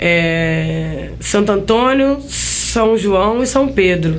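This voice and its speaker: A woman speaks with ordinary pitch variation. Noticeable background noise and audible room echo surround her. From Brazil, Caratinga, Minas Gerais. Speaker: singer and guitarist. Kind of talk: interview.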